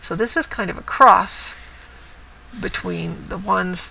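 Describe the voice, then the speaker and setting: Fairly slow speech with noticeable background noise around it. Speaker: cross stitch vlogger. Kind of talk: casual show-and-tell vlog. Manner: lively.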